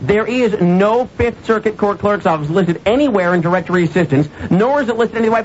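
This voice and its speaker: Over light background noise, a man with a high pitch talks at a fairly quick pace with ordinary pitch variation. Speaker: radio show host. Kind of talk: radio talk show monologue. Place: studio. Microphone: studio mic.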